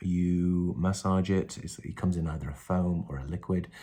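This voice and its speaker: A man with a very deep, low pitch and a dark, mellow tone talks against a quiet background. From North West England. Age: 40s. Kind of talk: casual talk to camera. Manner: hesitant, conversational.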